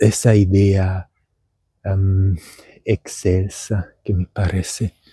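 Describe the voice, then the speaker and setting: The voice is somewhat breathy, with monotone, flat intonation. It moves at a very slow pace. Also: man, very deep, low pitch for a man. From Germany. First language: German (speaking Spanish). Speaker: vlogger and language teacher. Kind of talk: casual vlog monologue. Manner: halting.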